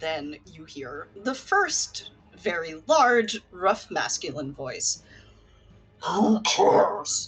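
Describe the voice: Someone reads the text aloud in a plain way.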